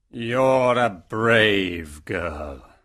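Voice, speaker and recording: A man uses a put-on character voice, raspy and fairly low in pitch, with lively intonation. The recording is very clean with a silent background. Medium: audio drama. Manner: stern, commanding.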